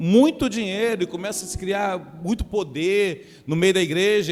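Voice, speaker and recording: Against a silent background in a very clean recording, a man speaks in a high pitch with lively intonation. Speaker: pastor. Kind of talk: sermon. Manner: halting, repeats words.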